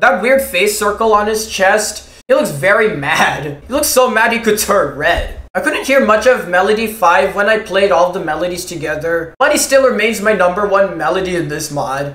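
With lively intonation and few pauses, a man talks at a moderate pace in a high pitch and a fairly bright tone, with audible room echo.

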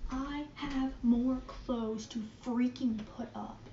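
Slow and fairly even in intonation, a woman speaks at a fairly high pitch with a dark, mellow tone, with audible room echo and faint music in the background.

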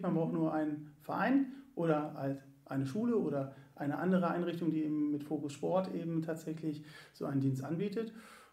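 In a room with audible echo, a man speaks at a fairly high pitch. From Göttingen, Lower Saxony, Germany. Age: 40s. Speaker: sports club volunteer service manager. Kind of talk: casual interview. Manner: hesitant, many fillers.

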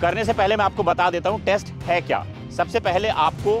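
Over clear background music, a man with a high pitch speaks at a fairly slow pace in a dry sound with no echo. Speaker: fitness vlogger. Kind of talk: energetic vlog presentation to camera. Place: stadium. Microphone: lapel.

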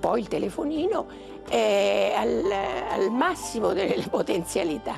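A woman at a fairly slow pace, clear music in the background. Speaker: retired schoolteacher. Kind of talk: interview answer. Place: home room. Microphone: lapel.

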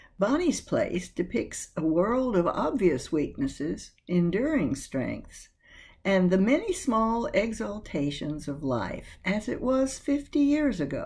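A woman's very slow speech with very wide pitch swings and vocal fry, over a quiet background. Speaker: video host / book presenter. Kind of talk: scripted narration about a book. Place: home room. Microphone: webcam.

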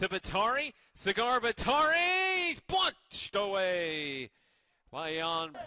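A man speaks very slowly in a raised, projected voice, high in pitch with very wide swings and a bright, sharp tone, recorded dry and close with no echo. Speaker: college soccer play-by-play commentator. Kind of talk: live play-by-play soccer commentary. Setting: broadcast booth at a live college soccer match.

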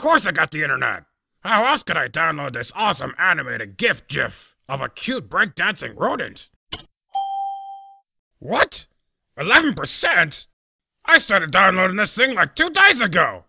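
A man's cartoonish character voice, angry in tone and high in pitch, at a moderate pace with very wide pitch swings, big swings in loudness and long, frequent pauses. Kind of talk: fan voice-over of a web cartoon. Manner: sarcastic, blustering, angry.

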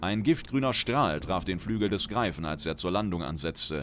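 There is vocal fry in this man's voice, which moves at a moderate pace with lively intonation. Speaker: audiobook narrator. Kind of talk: dramatic narration of a fantasy short story, read aloud with character voices. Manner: animated, theatrical, voicing characters with exaggerated flair.

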